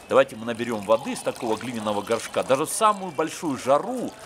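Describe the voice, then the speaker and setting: Over light background noise, a man speaks at a fairly quick pace with very wide pitch swings. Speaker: travel vlogger. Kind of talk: casual vlog chat. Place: street. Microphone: phone near.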